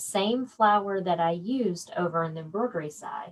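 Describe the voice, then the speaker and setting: The voice carries a slight Southern US accent. Its pitch swings very widely. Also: woman. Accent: slight Southern twang. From South Georgia / north Florida, US South. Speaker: quilting and embroidery instructor. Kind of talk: live-stream tutorial. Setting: Facebook live stream. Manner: casual, chatty.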